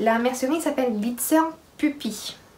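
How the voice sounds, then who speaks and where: A woman talks fairly slowly with ordinary pitch variation. Noticeable background noise and audible room echo are present. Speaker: sewing podcaster. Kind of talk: casual chat.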